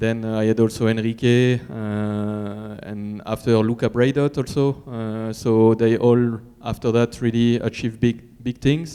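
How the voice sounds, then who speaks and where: A man with a French accent talks at a fairly slow pace, hardly pausing at all. His medium-pitched voice is dark and mellow, with monotone, flat intonation. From France. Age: 30s. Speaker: cross-country mountain bike racer. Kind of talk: press conference answer. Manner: halting.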